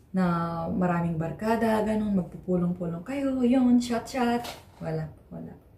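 Audible room echo around a woman's speech with ordinary pitch variation. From Philippines. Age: 20s. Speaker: vlogger. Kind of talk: vlog monologue; casual vlog chat. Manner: hesitant, many fillers. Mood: reflective, personal. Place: home room. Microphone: phone near.

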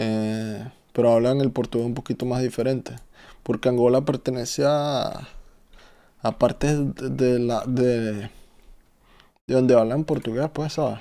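A man with a Venezuelan accent, a dark, mellow tone and fairly even intonation, at a fairly slow pace with long, frequent pauses, against a quiet background. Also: medium pitch for a man. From Venezuela (Caracas). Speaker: gaming streamer. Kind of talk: casual chat. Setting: live stream. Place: home room.

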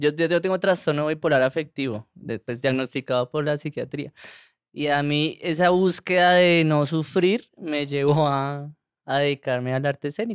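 A man's fairly high-pitched voice with ordinary pitch variation, dry with no echo, against a quiet background. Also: moderate pace. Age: 30s. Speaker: comedian. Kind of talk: casual chat. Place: studio. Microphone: studio mic.

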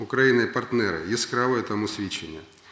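A man's medium-pitched voice at a fairly quick pace, with noticeable background noise. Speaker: prime minister. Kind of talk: official speech at government meeting.

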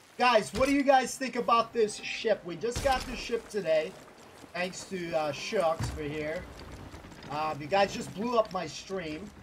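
Over noticeable background noise, a man with a high voice speaks at a fairly slow pace with lively intonation and big swings in loudness. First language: Spanish. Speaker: gaming streamer. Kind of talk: casual live stream chat. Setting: live stream with voice chat. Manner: animated.

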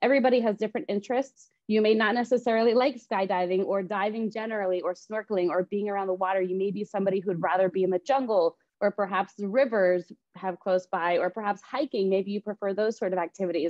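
A woman talking at a very fast pace with hardly any pauses and ordinary pitch variation, the sound dry with no echo over a quiet background. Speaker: real estate agent hosting a webinar. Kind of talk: presentation. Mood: friendly, upbeat. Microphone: video call.

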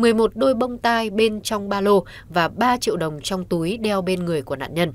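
A woman talks fairly slowly with lively intonation in a normal speaking voice, her pitch medium. The recording is very clean, with a silent background. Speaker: news presenter. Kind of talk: news reading. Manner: formal.

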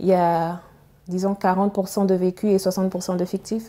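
A woman's voice at a medium pitch. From Chad. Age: young. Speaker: novelist and biomedical engineer; guest. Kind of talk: TV interview. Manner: halting, repeats words. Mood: calm, measured. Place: studio. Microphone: lapel.

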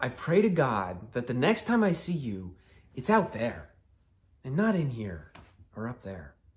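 A man's slow-ish delivery with vocal fry and very wide pitch swings. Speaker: actor performing a monologue. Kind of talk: dramatic monologue addressed to a friend. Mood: earnest, pleading, at times exasperated. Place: home room.

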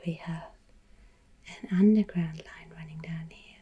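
The voice has a gentle tone. It is soft-spoken. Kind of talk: explanatory commentary. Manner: soft-spoken, gentle ASMR narration.

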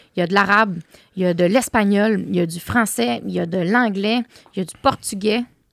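Lively in her intonation, a woman talks at a moderate pace in a dry sound with no echo and a quiet background. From Quebec. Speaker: entrepreneur; podcast guest. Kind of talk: casual chat. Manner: animated. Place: studio. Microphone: studio mic.

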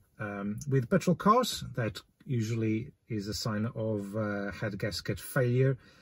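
Over a quiet background, a man talks at a fairly slow pace in a somewhat breathy voice with ordinary pitch variation and a dry sound with no echo. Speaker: car DIY vlogger. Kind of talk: tutorial. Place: car.

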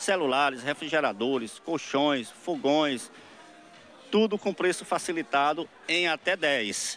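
Speaking very slowly in a fairly high pitch, a man uses lively intonation and very even loudness, with a dry sound, no echo, and light background noise. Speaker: store representative. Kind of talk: radio ad pitch. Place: shop. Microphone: handheld.

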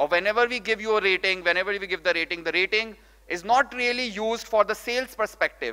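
Against a quiet background, a man with a high pitch speaks very fast in a raised, projected voice, bright and sharp in tone, with ordinary pitch variation. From India, Rajasthan. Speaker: startup founder and CEO. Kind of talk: conference talk. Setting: stage with audience. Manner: animated. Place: hall. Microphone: podium.

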